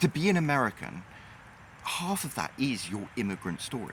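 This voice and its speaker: A man with a British accent speaks at medium pitch with very wide pitch swings. There is noticeable background noise. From Britain. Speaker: YouTuber and author. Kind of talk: casual monologue.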